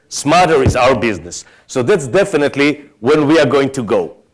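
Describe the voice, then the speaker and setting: A man talks with an Israeli accent and lively intonation. The recording is very clean, with a silent background. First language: Hebrew. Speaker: tech executive. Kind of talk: conference keynote.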